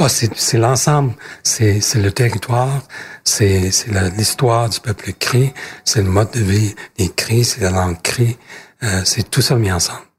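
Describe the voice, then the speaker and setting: A man's somewhat breathy, medium-pitched voice at a fairly slow pace, with ordinary pitch variation. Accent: Canadian. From northern Quebec, Cree territory. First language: Cree (speaking French). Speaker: politician. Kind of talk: interview. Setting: parliament office. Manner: halting, frequent repetitions.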